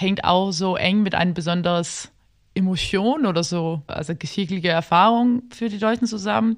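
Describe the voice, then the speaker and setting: Against a quiet background, a woman with a Danish accent speaks at a moderate pace in a medium pitch with ordinary pitch variation. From Denmark, Copenhagen. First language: Danish (speaking German). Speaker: literary translator. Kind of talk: casual interview. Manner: halting.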